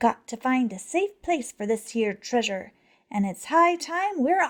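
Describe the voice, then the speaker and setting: Using a put-on character voice, a woman talks at a fairly slow pace in a high pitch. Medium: read story. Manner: bellowing, loud.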